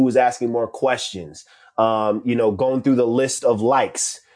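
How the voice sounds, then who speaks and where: A man speaks in an ordinary speaking voice with an American accent. His pitch is medium and his pace moderate. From New York. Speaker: social media coach. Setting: live audio room.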